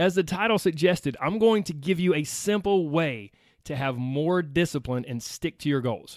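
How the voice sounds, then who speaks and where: On a very clean recording with a silent background, a man with an American accent and a fairly high pitch talks at a moderate pace, with an animated tone and lively intonation. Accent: Southern US, slight to strong. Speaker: weight loss podcast host. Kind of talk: motivational solo podcast talk.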